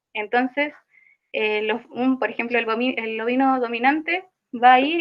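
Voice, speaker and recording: Here a woman speaks at a high pitch. Her pace is moderate. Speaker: student teaching assistant. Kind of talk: online tutorial session. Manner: halting, self-correcting.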